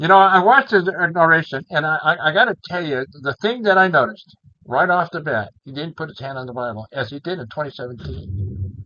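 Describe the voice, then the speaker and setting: A man with a fairly high pitch speaks at a fairly quick pace. His pitch swings very widely. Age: 70s. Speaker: YouTuber. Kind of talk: political commentary monologue. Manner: halting, repetitive.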